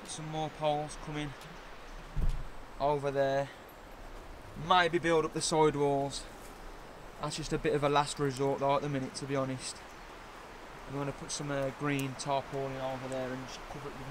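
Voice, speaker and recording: A man with a West Midlands accent and fairly high pitch, at a moderate pace, flat and monotone, with long, frequent pauses. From West Midlands, England. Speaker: bushcraft vlogger. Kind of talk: casual walkthrough vlog. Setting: outdoors in a forest. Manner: relaxed, casual.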